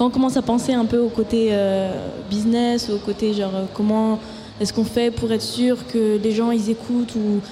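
A woman's fairly high voice at a moderate pace, monotone and flat in intonation, with noticeable background noise. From Paris suburbs, France. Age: 20s. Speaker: singer-songwriter. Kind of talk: casual interview. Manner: halting.

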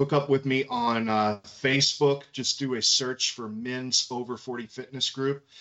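An American man with an unremarkable speaking voice talks at a medium pitch with ordinary pitch variation. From Kentucky, US South. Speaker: martial arts instructor and fitness coach. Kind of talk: casual chat.

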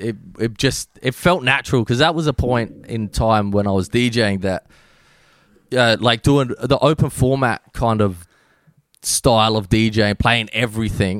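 A man with an Australian accent at medium pitch, fairly slow, ordinary pitch variation, in a dry, close sound with no echo. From Australia, Adelaide. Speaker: DJ and music producer. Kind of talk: casual chat. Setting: video call.

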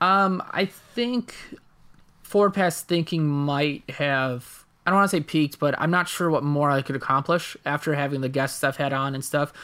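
A man speaks at a moderate pace with a fairly high pitch, a bright, sharp tone and ordinary pitch variation, on a very clean recording with a silent background. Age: 20s. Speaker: podcaster and comedian. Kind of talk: casual chat.

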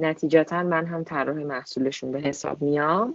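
A woman with a very deep, low pitch talks moderately fast, keeping her intonation fairly even. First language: multilingual, grew up with Persian, English and Turkish (speaking Persian). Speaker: UX and product designer. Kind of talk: interview conversation. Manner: hesitant with fillers.

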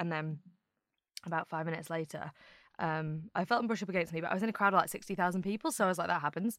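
Here a woman speaks very fast in a fairly low pitch. The recording is very clean, with a silent background. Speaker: writer and activist. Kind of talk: casual chat. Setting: studio.

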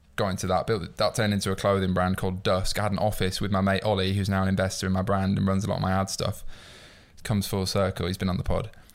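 Over a very clean recording with a silent background, a man with a Yorkshire accent speaks very fast in a very deep, low pitch, with monotone, flat intonation and very even loudness. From northern England, York. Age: 20s. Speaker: entrepreneur. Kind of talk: casual chat.

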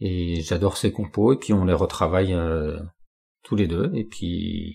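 Speaking at a fairly slow pace, a man uses a very deep, low voice that is somewhat breathy, with ordinary pitch variation. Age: 40s. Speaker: job-seeking carpenter and guitarist. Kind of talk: casual interview.

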